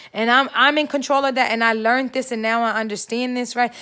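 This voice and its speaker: A woman speaks loudly in a high pitch. Her tone is bright, sharp and animated. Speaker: faith vlogger. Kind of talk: motivational vlog monologue.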